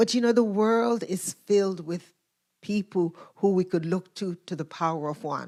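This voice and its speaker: In a normal speaking voice, a woman talks fairly low-pitched and fairly slowly with ordinary pitch variation on a very clean recording with a silent background. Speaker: guest speaker, minister. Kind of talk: sermon, storytelling to a congregation.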